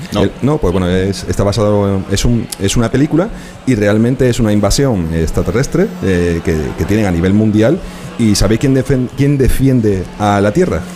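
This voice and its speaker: A man's fairly low voice at a moderate pace, with lively intonation and noticeable background noise. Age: 40s. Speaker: museum founder and video game entrepreneur. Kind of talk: live radio interview. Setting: live broadcast from a museum.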